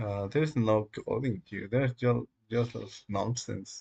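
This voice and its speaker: Against a quiet background, a man speaks in a somewhat breathy voice with fairly even intonation. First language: Spanish. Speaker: live-coding streamer. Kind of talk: live stream, casual monologue. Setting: dimly lit room. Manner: halting, many fillers.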